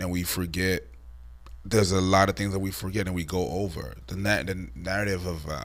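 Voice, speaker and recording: A man's voice with audible room echo. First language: not English. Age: 40s. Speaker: online commentator. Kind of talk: casual chat. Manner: halting.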